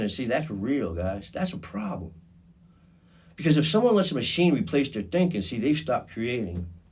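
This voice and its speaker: Speaking at a moderate pace, a man uses a medium pitch with vocal fry. His pitch makes very wide swings. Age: 50s. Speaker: podcast host. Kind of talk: podcast monologue. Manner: casual, conversational with fillers; halting, repeats words.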